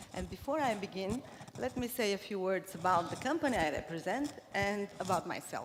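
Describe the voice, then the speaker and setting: Noticeable background noise surrounds a woman speaking at a fairly quick pace. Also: medium pitch for a woman, lively intonation. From Cuba and Bulgaria. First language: Bulgarian. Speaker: corporate marketing leader. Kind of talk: conference talk. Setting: stage with audience. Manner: hesitant, many fillers.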